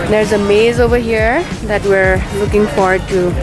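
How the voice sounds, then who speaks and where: A woman's voice with ordinary pitch variation, dry with no echo, over clear music in the background. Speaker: dog owner vlogger. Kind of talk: casual vlog chat. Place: market. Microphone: phone near.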